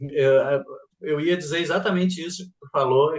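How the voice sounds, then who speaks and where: Here a man speaks with a southern Brazilian accent. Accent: gaúcho accent, clearly noticeable. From southern Brazil, Rio Grande do Sul. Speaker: math teacher and speaker. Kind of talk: interview.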